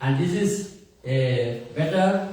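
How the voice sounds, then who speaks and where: A man is speaking in a room with audible echo. Noticeable background noise can be heard. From India. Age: 60s. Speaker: priest and theology professor. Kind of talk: talk to an audience.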